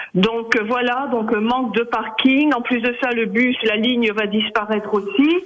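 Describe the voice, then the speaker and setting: An extremely high-pitched male voice at a fairly slow pace, hardly any pauses, over noticeable background noise. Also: fairly even intonation. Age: 70s. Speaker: radio caller. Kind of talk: call-in radio comment.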